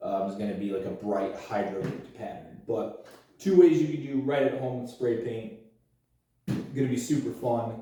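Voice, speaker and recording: In a room with audible echo, a man at medium pitch talks at a moderate pace in a somewhat breathy, dark and mellow tone, with lively intonation, big swings in loudness, and long, frequent pauses. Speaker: YouTuber doing a DIY project. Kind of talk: tutorial. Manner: casual, self-deprecating.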